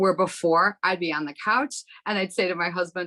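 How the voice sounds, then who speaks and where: A woman at a fairly quick pace, in a dry, close sound with no echo. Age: 60s. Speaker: hairstylist sharing a product testimonial. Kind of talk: testimony. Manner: animated.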